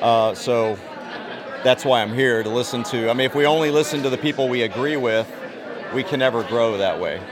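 This man has an American accent and talks at a fairly quick pace with ordinary pitch variation. Crowd noise runs in the background. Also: medium pitch for a man. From Texas. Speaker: rally attendee, gun rights activist. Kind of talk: vox pop interview. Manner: hesitant, many fillers.

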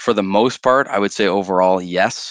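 With a Canadian accent, a man speaks at a moderate pace in an unremarkable speaking voice, his pitch fairly low, the sound dry and close with no echo over a quiet background. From Canada. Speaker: sales director. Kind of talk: casual interview chat.

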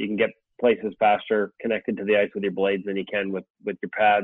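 Speaking fairly quickly, a man delivers his words at a fairly low pitch with monotone, flat intonation. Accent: Canadian. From Canada. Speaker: sports journalist. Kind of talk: casual interview.

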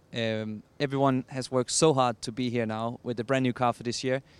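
A man talks at a fairly quick pace in a monotone, flat delivery. The sound is dry and close, with no echo. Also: very clean recording, silent background. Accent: Danish. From Denmark. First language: Danish. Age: 20s. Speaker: racing driver. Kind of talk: interview.

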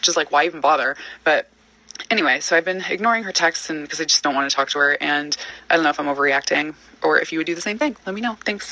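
Noticeable background noise sits behind a woman with a very deep, low pitch. She speaks at a very fast pace with ordinary pitch variation. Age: 30s. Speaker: caller. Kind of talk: voicemail.

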